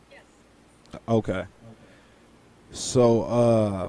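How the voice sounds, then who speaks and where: There is light background noise as a man speaks in a dry sound with no echo. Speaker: YouTube finance and crypto host. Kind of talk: interview (AMA). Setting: video call. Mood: friendly, reassuring. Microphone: video call.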